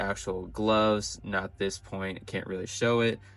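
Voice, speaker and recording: Over music in the background, a man with a fairly low pitch speaks in monotone, flat intonation at a moderate pace. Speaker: toy reviewer. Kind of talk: product review. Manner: casual, with fillers.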